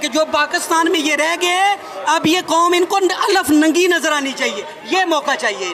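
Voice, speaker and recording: Over noticeable background noise, a man with an extremely high pitch uses a raised, projected voice at a moderate pace with ordinary pitch variation. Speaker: political speaker. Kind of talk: political speech. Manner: animated.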